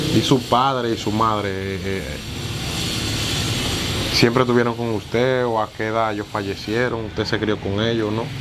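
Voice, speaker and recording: A man at a moderate pace with long, frequent pauses, against noticeable background noise. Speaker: interviewer, channel host. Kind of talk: interview questions. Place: street. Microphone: lapel.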